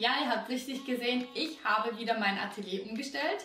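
Speech moves at a moderate pace with audible room echo. Faint music plays in the background. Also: woman. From Austria. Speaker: acrylic painting teacher. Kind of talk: painting tutorial talk to camera. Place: home room.

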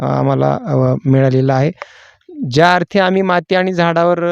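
With an ordinary speaking voice, a man at a fairly high pitch shows ordinary pitch variation, and the sound is dry and close with no echo. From Maharashtra, Solapur district. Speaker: pomegranate farmer. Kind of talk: farm walkthrough interview. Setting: outdoors in orchard.

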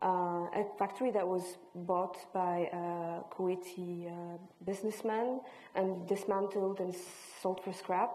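Speaking at a fairly slow pace, a woman keeps a medium pitch in a monotone, flat intonation. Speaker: visual artist and filmmaker; panelist. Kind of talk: panel discussion. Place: hall.

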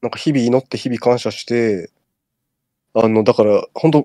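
A man speaks at a very fast pace in a dark, mellow tone. The sound is dry and close, with no echo. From Tokyo. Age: 30s. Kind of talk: casual chat.

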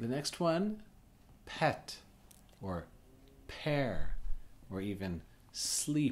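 Speaking very slowly with long, frequent pauses, a man's somewhat breathy voice swings very widely in pitch and shifts a lot in loudness. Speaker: English teacher. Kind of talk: tutorial. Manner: slow, demonstrative. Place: home room.

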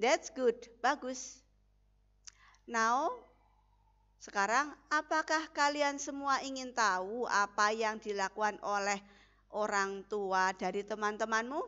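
Speaking at a very slow pace with long, frequent pauses, a woman uses ordinary pitch variation. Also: fairly high pitch for a woman. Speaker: English teacher. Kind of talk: lecture.

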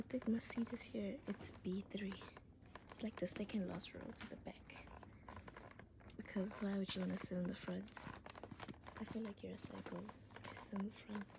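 Whispering at a moderate pace, the voice leaves long, frequent pauses. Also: woman. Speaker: vlogger. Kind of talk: casual vlog chat. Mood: amused, a bit nervous. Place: hall. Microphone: phone near.

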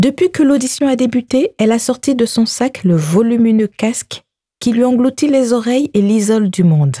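A woman speaks in a dark, mellow tone at very even loudness. The sound is dry and close, with no echo. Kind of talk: audiobook narration. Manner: measured, narrative, slow-paced.

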